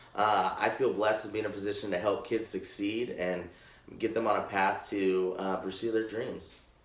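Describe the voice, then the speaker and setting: Audible room echo surrounds the voice. The words come fairly quickly. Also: man. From Portland, Oregon. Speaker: scholarship program administrator. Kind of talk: panel interview.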